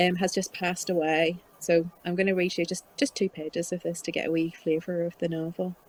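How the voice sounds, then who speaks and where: A woman's dark, mellow tone in a Northern Irish accent. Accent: Northern Irish, Ballymena. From Northern Ireland, near Ballymena, County Antrim. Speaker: novelist. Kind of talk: author talk with reading aloud.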